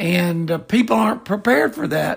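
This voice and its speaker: A man speaks with a Southern US accent. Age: 60s. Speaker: cemetery industry veteran, podcast co-host. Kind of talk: casual chat.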